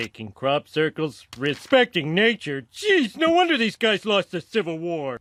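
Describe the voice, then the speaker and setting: A man uses a cartoonish character voice at a high pitch. He keeps a moderate pace with hardly any pauses. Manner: goofy, blundering.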